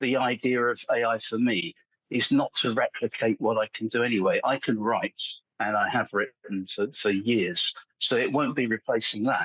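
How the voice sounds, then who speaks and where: A man with an English accent speaks at medium pitch and a moderate pace. His intonation stays fairly even, and his loudness is very even. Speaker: AI content specialist and copywriter. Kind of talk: podcast interview. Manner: halting, frequent repetitions.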